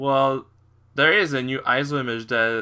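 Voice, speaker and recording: Heard in a very clean recording with a silent background, a man with a French accent talks at a fairly slow pace in a bright, sharp tone. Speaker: tech YouTuber. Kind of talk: screen-recorded tutorial walkthrough. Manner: halting, improvised with many fillers.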